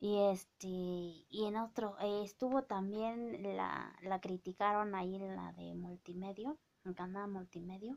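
With an Oaxacan accent, a woman speaks very slowly with hardly any pauses and fairly even intonation. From Oaxaca, Mexico (Mazatec community); Oaxaca, Mexico. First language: Mazatec (speaking Spanish). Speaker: vlogger; vlogger commenting on a celebrity. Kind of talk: casual vlog monologue. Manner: hesitant, many fillers. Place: home room. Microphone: phone near.

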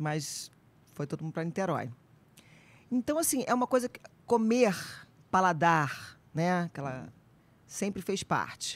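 Speech comes at a fairly slow pace with long, frequent pauses, big swings in loudness, and very wide pitch swings, all in a dry sound with no echo. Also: woman, fairly low pitch for a woman. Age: 50s. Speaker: actress and nutritionist; actress. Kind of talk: casual chat. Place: studio. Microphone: studio mic.

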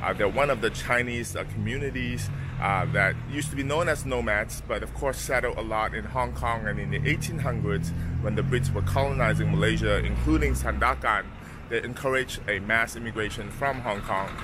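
Noticeable background noise, a dry, echo-free sound, and a man's voice at a medium speed. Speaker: travel vlogger. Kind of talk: casual vlog chat. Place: street. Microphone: phone near.

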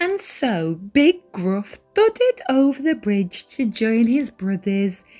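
A natural voice, reading aloud

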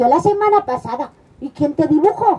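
A woman's high voice with very wide pitch swings at a fairly slow pace. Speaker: children's storyteller. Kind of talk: storytelling performance with character voices. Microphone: headset.

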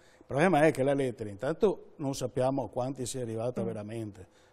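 A man is heard here. His tone is dark and mellow. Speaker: consumer association president. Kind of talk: informative interview. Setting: studio. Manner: halting, repeats words. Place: studio.

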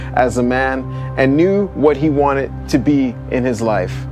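Clear background music accompanies a man whose speech moves at a moderate speed. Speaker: video host. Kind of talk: casual vlog chat. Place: open country. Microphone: lapel.

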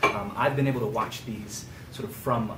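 The man's voice shows ordinary pitch variation against loud background noise. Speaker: visiting history lecturer. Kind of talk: lecture. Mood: warm, grateful opening remarks. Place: classroom. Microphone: camera far.

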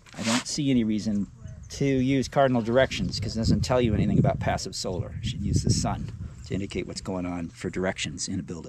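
Over loud background noise, a man talks very fast in a dry recording with no echo. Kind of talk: interview answer and explanation. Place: open country.

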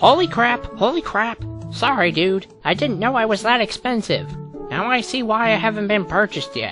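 Clear music plays behind a cartoonish character voice. The pitch is fairly high and the pace is moderate. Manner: brash, sarcastic, joking.

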